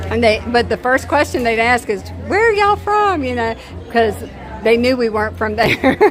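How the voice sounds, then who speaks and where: A woman with a Southern accent talks over music in the background. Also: moderate pace. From US South, southern Virginia. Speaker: family travel vlogger. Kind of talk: casual livestream chat. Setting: outdoors at a theme park. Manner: chatty.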